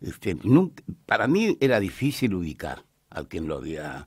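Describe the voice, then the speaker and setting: A man speaks with vocal fry. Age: old. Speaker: friend of an accident victim. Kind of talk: radio interview. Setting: radio studio.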